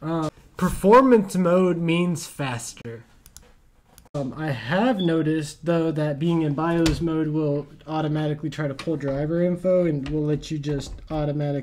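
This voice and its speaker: The delivery comes at a fairly slow pace with ordinary pitch variation. Light background noise is present. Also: man, fairly high pitch for a man. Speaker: tech YouTuber, PC builder. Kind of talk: tutorial with angry rant. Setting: studio. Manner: animated, ranting, exasperated; gloating, sarcastic. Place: home room. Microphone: camera far.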